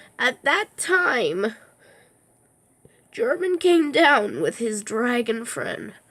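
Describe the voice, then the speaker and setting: In a put-on character voice with fairly high pitch, the speaker talks at a very slow pace with long, frequent pauses. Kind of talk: storytelling to children.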